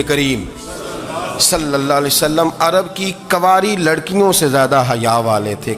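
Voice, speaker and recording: Noticeable background noise behind a man with a fairly high pitch and lively intonation. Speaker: Islamic preacher giving a sermon. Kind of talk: Islamic sermon storytelling about the Prophet's life. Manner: emotional, preaching.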